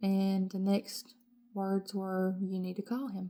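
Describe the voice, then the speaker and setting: A woman's medium-pitched voice with a dark, mellow tone moves at a fairly slow pace. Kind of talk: testimony.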